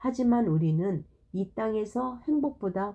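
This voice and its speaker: A woman speaks very slowly in a fairly high-pitched voice with a dark, mellow tone. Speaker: Bible storyteller for children. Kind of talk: reading aloud. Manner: halting.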